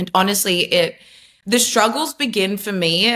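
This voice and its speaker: At a moderate pace, a woman speaks with an Australian accent. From Australia, Melbourne. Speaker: former social media marketer, faith testimony guest. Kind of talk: podcast interview, personal testimony. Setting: video call.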